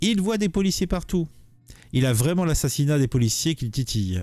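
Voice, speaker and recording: A man talks with very wide pitch swings while music plays in the background. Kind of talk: political commentary. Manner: casual, hesitant.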